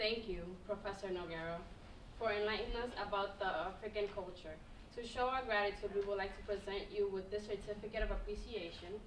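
Over light background noise and audible room echo, a woman talks at a fairly quick pace with a medium pitch and monotone, flat intonation. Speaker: student ambassador; presenter. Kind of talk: formal speaker introduction. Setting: stage with audience. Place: classroom. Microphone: podium.

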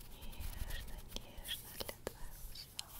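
The speaker whispers at a very slow pace. The voice is soft-spoken. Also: woman. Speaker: ASMR creator. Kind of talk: soft whispered ASMR talk. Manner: close, soft ASMR whisper. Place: home room. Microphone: studio mic.

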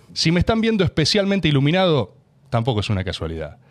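Over a quiet background, a man with a porteño accent and a fairly high voice talks very fast, his pitch swinging very widely. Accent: porteño rioplatense Spanish. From Buenos Aires, Argentina; Argentina. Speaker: podcast host. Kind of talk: casual interview chat. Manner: talkative. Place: studio. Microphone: studio mic.

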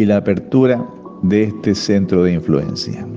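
Fairly slow speech by a man, music playing behind him. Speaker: voice-over narrator. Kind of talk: devotional reading.

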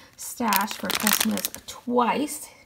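A woman speaks over noticeable background noise. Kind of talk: casual haul voiceover.

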